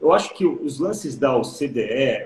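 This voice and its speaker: A man's somewhat breathy voice. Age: 40s. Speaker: education specialist. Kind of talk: casual chat.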